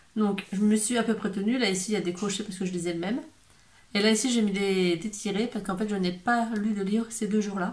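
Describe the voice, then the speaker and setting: With fairly even intonation, a woman's somewhat breathy voice comes through. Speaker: book youtuber. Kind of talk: casual vlog talk. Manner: hesitant, many fillers.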